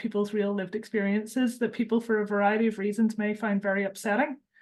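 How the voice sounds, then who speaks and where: A woman's fairly high voice against a quiet background. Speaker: charity campaigns and policy lead, webinar host. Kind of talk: webinar introduction.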